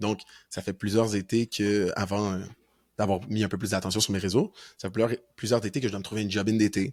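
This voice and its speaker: Man's fairly low, monotone voice at a fairly quick pace, broken by long, frequent pauses, on a very clean recording with a silent background. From Quebec, North Shore of Montreal. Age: 20s. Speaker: university football player. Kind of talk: podcast interview.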